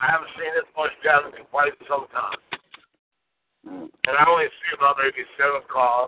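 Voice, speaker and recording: A man speaks at a fairly slow pace. He takes long, frequent pauses. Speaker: caller. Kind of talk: casual chat. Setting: in a car. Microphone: bad connection.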